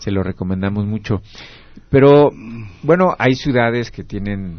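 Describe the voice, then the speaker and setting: This man speaks with ordinary pitch variation. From Mexico, Querétaro. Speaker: radio host. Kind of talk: radio talk show.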